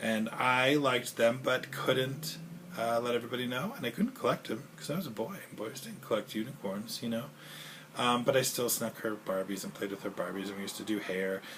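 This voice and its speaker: Noticeable background noise sits behind a man who talks at a fairly quick pace with medium pitch and ordinary pitch variation. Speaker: 911 dispatcher and video blogger. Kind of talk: casual vlog monologue. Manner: fast; rambling with filler noises.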